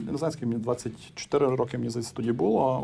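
With music in the background, a man talks at medium pitch using ordinary pitch variation. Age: 30s. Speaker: IT cluster executive. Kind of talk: interview. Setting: remote call. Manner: calm.

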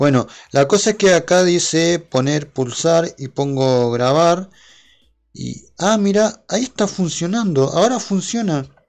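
Against a quiet background, a man with a high voice speaks fairly slowly with lively intonation. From Argentina. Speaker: YouTuber and podcaster. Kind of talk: casual solo livestream monologue. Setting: home livestream with OBS.

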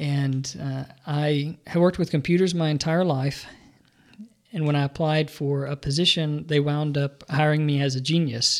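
With an Alabama accent, a man talks at a moderate pace in a fairly high pitch, keeping his intonation fairly even. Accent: Southern US (Alabama). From US South, Birmingham, Alabama. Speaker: professor of religion. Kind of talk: interview. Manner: hesitant, many fillers.

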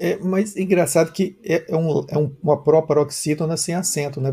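A man's fairly high voice with a dark, mellow tone, fairly even intonation, a moderate pace and hardly any pauses. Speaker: journalist and live stream host. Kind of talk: interview.

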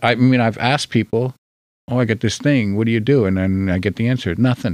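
A man with a New Jersey accent at medium pitch, with ordinary pitch variation, a fairly quick pace and a quiet background. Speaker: podcast guest. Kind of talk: casual chat. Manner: quieter than usual.

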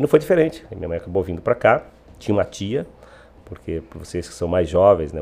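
This is a man speaking. His intonation is lively. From Bahia backlands, Brazilian Northeast. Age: 50s. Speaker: mayor and politician. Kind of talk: podcast interview.

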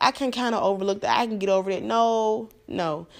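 On a very clean recording with a silent background, a woman talks in an animated tone at a fairly quick pace, her medium-pitched voice showing ordinary pitch variation. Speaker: podcast host. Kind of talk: casual monologue.

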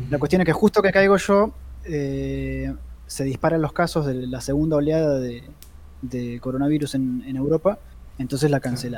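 With a Rioplatense accent, a man talks at a moderate pace in a fairly high pitch, his pitch varying in an ordinary way. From Argentina. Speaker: comics podcast co-host and comic artist. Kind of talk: casual chat.

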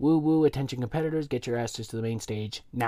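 An unforced reading voice whose pitch varies an ordinary amount

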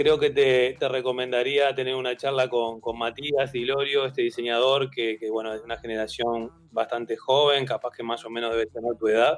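Hardly pausing, a man speaks at a moderate pace with a medium pitch and monotone, flat intonation. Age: 50s. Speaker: graphic designer and teacher. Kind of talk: interview. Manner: halting, many fillers and repeated words.

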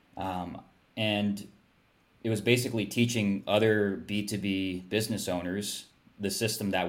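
Monotone, flat delivery from a man at a fairly low pitch and moderate pace, with audible room echo. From Hawaii. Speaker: digital product creator and email marketer. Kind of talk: casual interview.

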